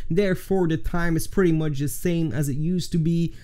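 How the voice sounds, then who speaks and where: Amid audible room echo, a man with a Flemish accent speaks at a fairly quick pace. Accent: Flemish Dutch accent in English. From Flanders, Belgium. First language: Dutch. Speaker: video editing tutorial YouTuber. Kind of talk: casual Q&A to camera.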